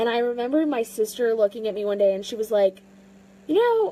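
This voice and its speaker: A woman with an American accent, fairly high in pitch and dark, mellow in tone, at a fairly quick pace. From US South. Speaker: fitness vlogger. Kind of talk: personal vlog monologue. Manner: loud; halting, many fillers.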